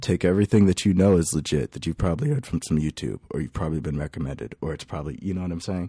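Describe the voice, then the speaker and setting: A man's very deep, low voice with an American accent, dark and mellow with vocal fry, lively intonation, a very fast pace and hardly any pauses, in a very clean recording with a silent background. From California (Lake Elsinore). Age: 20s. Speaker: electronic musician. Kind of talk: casual interview chat. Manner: animated.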